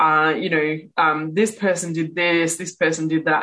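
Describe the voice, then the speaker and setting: A woman with an Australian accent speaks at a fairly low pitch against a quiet background. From Western Australia, Perth. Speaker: author and speaker. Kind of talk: interview.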